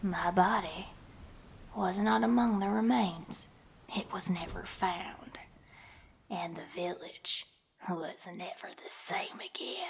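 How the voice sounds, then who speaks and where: A woman puts on a raspy character voice at medium pitch. She goes at a fairly slow pace with long, frequent pauses. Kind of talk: dramatic horror monologue.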